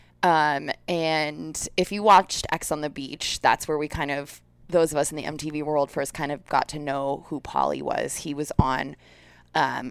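A woman with a very deep, low pitch and vocal fry speaks at a moderate pace with fairly even intonation. The recording is very clean, with a silent background. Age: 30s. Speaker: podcast co-host. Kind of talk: casual chat.

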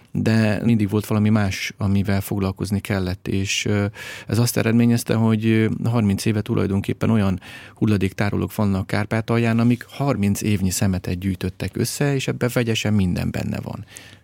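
A man talks at a moderate pace in a plain, everyday voice with a fairly low pitch. The recording is very clean with a silent background, and the sound is dry and close with no echo. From Hungary, Great Plain near the Tisza. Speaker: documentary filmmaker and environmental activist. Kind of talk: interview.

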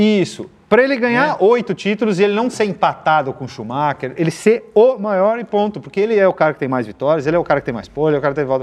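Speaking very fast with hardly any pauses, a man uses a high voice with very wide pitch swings. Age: 40s. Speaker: automotive TV and YouTube presenter. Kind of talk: casual chat.

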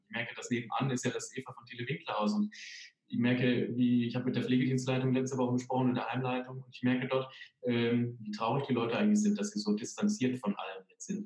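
Speaking very fast, a man uses lively intonation. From Sauerland, Germany. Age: 30s. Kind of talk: interview.

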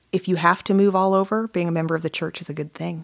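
A woman has a plain, everyday voice with an American accent, a medium pitch and fairly even intonation, the sound dry and close with no echo. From US South (Atlanta, Georgia). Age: 40s. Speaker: author. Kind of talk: interview conversation. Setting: studio.

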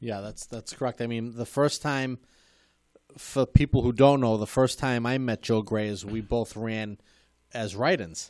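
With an unremarkable speaking voice at medium pitch, a man talks at a moderate pace with fairly even intonation and big swings in loudness, on a very clean recording with a silent background. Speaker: show host, former school committee member. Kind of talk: casual interview chat. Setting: studio.

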